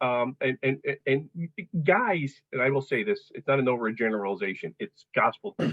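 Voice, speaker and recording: Using very wide pitch swings, a man speaks in a fairly high voice. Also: moderate pace. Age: 50s. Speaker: fitness client, father. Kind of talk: casual podcast interview.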